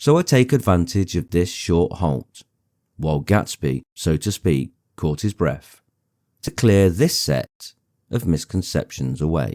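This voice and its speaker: A soft-spoken man with an English accent talks at a very deep, low pitch with vocal fry, in a very clean recording with a silent background and a dry, close sound with no echo. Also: lively intonation. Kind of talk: audiobook reading. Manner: soft-spoken, gentle.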